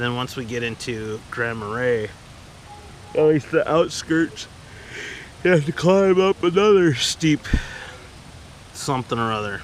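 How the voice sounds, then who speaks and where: At a fairly slow pace, a man of medium pitch speaks with lively intonation and long, frequent pauses over noticeable background noise. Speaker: solo backpacker vlogger. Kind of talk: casual vlog narration. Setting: outdoors at a campsite. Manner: quiet, hushed.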